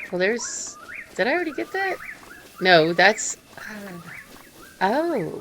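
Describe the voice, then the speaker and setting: Over noticeable background noise, a woman speaks at a very slow pace with very wide pitch swings. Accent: American. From United States. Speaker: gaming streamer. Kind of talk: live stream gameplay commentary. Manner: halting, many fillers.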